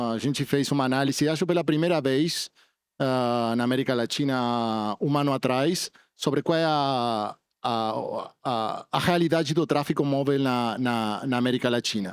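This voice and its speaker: A man with a non-native accent speaks at a medium pitch and a moderate pace, with ordinary pitch variation and very even loudness. The recording is very clean, with a silent background. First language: not Portuguese (speaking Portuguese). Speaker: telecom industry representative. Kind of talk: panel discussion. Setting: conference stage with audience. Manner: halting.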